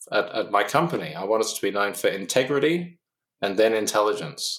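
With an Australian accent, the speaker talks at a fairly quick pace with lively intonation. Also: man. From Australia, Canberra. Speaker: physicist and consultant. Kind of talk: interview.

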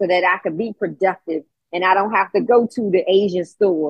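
A woman speaks in a normal speaking voice at a medium pitch, keeping a fairly quick pace and fairly even intonation. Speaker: call-in participant. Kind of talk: testimony.

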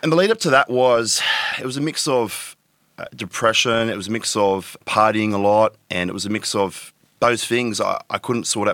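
A man's fairly low voice with an Australian accent, at a moderate pace. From Tweed Heads, New South Wales, Australia. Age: 30s. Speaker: adult content creator. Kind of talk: casual interview.

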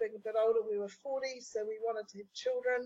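Speaking in a New Zealand accent, a woman talks at a fairly quick pace in a high, monotone, flat voice. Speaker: business strategist. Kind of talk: interview conversation.

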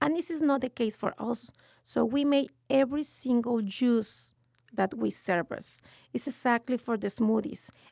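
A woman's high-pitched voice with a Mexican accent, ordinary pitch variation and a moderate pace. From Mexico City, Mexico. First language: Spanish. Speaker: restaurant owner. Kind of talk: casual interview.

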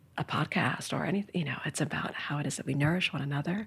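Recorded very cleanly against a silent background, a woman with a very deep, low pitch and a somewhat breathy voice speaks at a moderate pace. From New York City, Manhattan. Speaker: art history professor. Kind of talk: casual interview.

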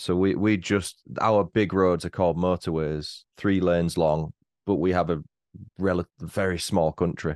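Speaking in a very deep, low voice with a British accent, a man goes at a fairly slow pace with monotone, flat intonation and very even loudness over a quiet background. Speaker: true-crime podcaster. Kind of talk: casual chat. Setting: home studio.

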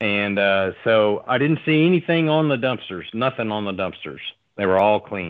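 A man with a Southern US accent, fairly low in pitch, with very wide pitch swings. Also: moderate pace. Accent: Southern US (Oklahoma). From Oklahoma. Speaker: oil field worker. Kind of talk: storytelling in casual chat.

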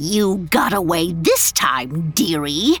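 Someone puts on a character voice at a middle pitch, speaking at a fairly slow pace. Music plays in the background, and there is hissing. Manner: hissing, menacing.

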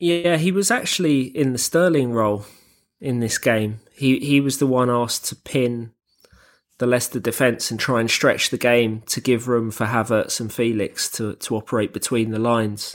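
A man speaks at a moderate pace with a medium pitch, in a normal speaking voice with ordinary pitch variation. The recording is very clean, with a silent background. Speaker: football analyst and podcast host. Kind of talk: casual chat.

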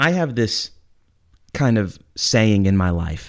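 Very slowly, a man with a fairly low pitch speaks with lively intonation. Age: 30s. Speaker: podcast host. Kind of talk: casual chat.

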